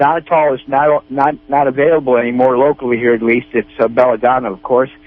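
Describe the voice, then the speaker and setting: Music plays in the background as a man talks at a very fast pace with hardly any pauses. His intonation stays fairly even. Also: medium pitch for a man. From Northern California. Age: 60s. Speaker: caller with health problem, military surgery patient. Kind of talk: radio call-in question. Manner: halting.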